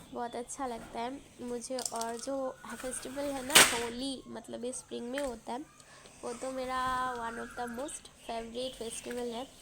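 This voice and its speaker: A woman's high-pitched, monotone, flat delivery in a Bengali accent, over noticeable background noise. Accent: Bengali-accented Hindi. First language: Bengali (speaking Hindi). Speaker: vlogger, housewife. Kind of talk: casual vlog talk. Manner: chatty, informal.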